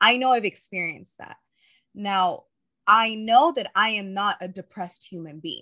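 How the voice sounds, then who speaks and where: Here is a woman with a normal speaking voice at medium pitch. She talks at a moderate pace with ordinary pitch variation. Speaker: life coach. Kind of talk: casual chat.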